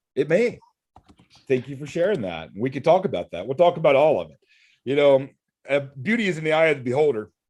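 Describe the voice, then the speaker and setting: Speaking very fast yet with long, frequent pauses, a man uses lively intonation at a fairly high pitch, his loudness swinging widely. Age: 40s. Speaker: solar fundraising event host. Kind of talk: live video call discussion.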